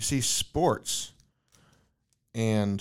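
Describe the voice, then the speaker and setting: On a very clean recording with a silent background, a man with a plain, everyday voice speaks at a medium pitch with ordinary pitch variation. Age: 30s. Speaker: podcast host. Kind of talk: casual interview. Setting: guest's office.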